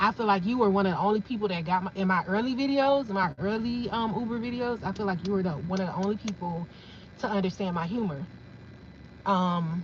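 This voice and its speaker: Speaking at a very fast pace, a woman with a medium pitch sounds animated and somewhat breathy, her pitch varying in an ordinary way. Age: 40s. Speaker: content creator, livestreamer. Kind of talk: casual livestream chat.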